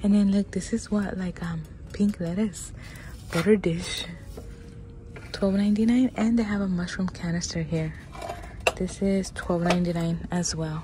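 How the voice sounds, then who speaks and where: Over noticeable background noise in a dry sound with no echo, a woman speaks at a fairly slow pace with fairly even intonation and long, frequent pauses. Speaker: shopping vlogger. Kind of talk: casual vlog chat. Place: shop. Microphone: phone near.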